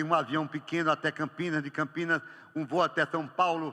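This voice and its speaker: Over a silent background in a very clean recording, a man with a fairly high pitch and a bright, sharp tone talks at a moderate pace. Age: 70s. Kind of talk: homily. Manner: animated storytelling.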